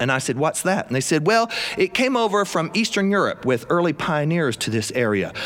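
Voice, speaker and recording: Over noticeable background noise, a man with a South Carolina accent speaks in an animated tone at a moderate pace, his pitch swinging very widely. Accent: US Southern (South Carolina). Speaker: storyteller. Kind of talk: live storytelling performance. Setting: studio with live audience.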